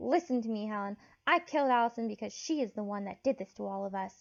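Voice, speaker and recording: Talking at a very fast pace, a woman uses a put-on character voice. Her pitch is fairly high. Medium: read story. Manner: blunt.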